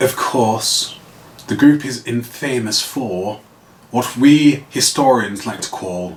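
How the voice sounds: Intonation here is lively. It comes in a natural reading voice.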